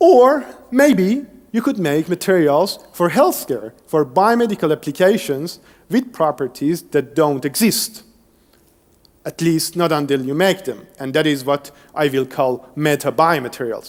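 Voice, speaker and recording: Speaking at a fairly slow pace with a Persian accent, a man with a fairly high pitch uses lively intonation. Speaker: engineering researcher. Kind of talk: lecture.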